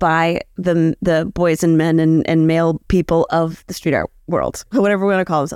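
A woman's unremarkable speaking voice, fairly low in pitch with fairly even intonation and a moderate pace, in a very clean recording with a silent background and a dry, close sound without echo. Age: 40s. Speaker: street artist. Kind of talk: live interview. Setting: live event in Aberdeen. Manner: casual, filler-heavy.

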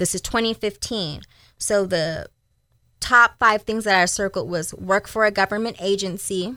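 Speaking with an American accent at a moderate pace, a woman has a medium pitch, fairly even intonation, and a bright, sharp tone, with a dry, close sound with no echo in a very clean recording with a silent background. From Sacramento, California. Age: 30s. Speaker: plus size model and entrepreneur. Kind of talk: interview. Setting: radio studio.

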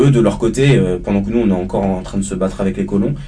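A man speaks with lively intonation through audible room echo and noticeable background noise. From Paris suburbs, France (Martinican family). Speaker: student activist. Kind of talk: panel discussion.

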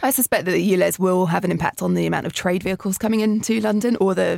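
Very fast speech comes from a woman with a southern English accent. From southern England. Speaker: tech startup founder. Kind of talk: casual chat. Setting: studio.

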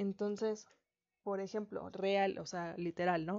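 This woman talks rather slowly, her mid-range pitch moving with ordinary variation. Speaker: podcast host. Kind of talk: solo reflective monologue.

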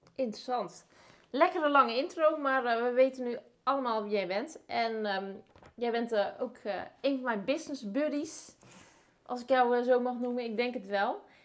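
Long, frequent pauses break up a woman's high-pitched speech. She keeps a moderate pace with ordinary pitch variation. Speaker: podcast host, marketing and visibility consultant. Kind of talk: casual interview chat. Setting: at the host's home.

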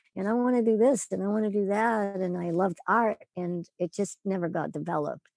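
A woman with an unremarkable speaking voice talks at a fairly quick pace and medium pitch, with ordinary pitch variation and a dry, close sound with no echo. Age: 60s. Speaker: author and cancer wellness coach. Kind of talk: casual interview.

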